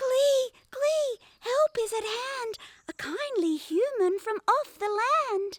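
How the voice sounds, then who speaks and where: A squeaky, put-on character voice at a very slow pace. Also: woman, extremely high pitch for a woman. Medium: read story. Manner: sing-song, rhyming.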